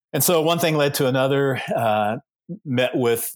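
On a very clean recording with a silent background, a man speaks in an unremarkable speaking voice at a moderate pace with fairly even intonation. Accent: American. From US South, Georgia. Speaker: pastor. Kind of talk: casual interview.

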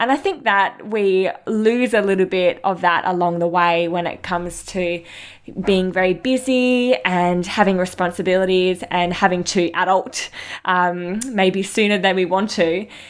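A woman with an Australian accent, medium in pitch with ordinary variation, at a fairly slow pace in a very clean recording with a silent background. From Western Australia, coastal town south of Perth. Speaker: chiropractor and podcast host. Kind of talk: personal storytelling monologue.

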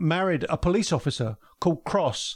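This man talks with a London accent. The recording is very clean, with a silent background. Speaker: former police detective, podcaster. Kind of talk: casual chat. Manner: halting, many fillers.

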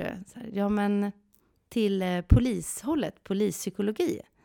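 On a very clean, dry and close recording with a silent background and no echo, a woman talks at a fairly slow pace with medium pitch and a dark, mellow tone. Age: 40s. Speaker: podcast co-host. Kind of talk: casual chat. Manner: animated.

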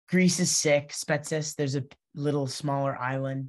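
A woman's very deep, low voice in an American accent, monotone and flat, at a moderate pace. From New Jersey. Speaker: professional lacrosse goalkeeper. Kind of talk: casual interview. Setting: video call.

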